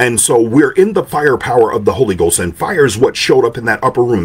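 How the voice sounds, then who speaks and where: A man with an American accent speaks in an animated tone. His voice is somewhat breathy, with very wide pitch swings. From Detroit, Michigan. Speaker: pastor. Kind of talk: sermon. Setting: indoor room, live stream. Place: home room. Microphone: studio mic.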